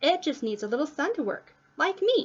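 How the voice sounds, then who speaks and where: A woman does a squeaky, put-on character voice at a high pitch with very wide pitch swings. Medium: read story.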